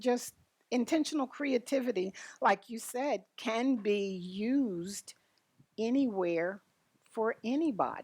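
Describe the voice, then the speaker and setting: Lively intonation marks this delivery, which moves at a very slow pace. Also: woman. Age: 70s. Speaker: retired grandmother, art teacher. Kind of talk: interview answer. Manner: casual storytelling.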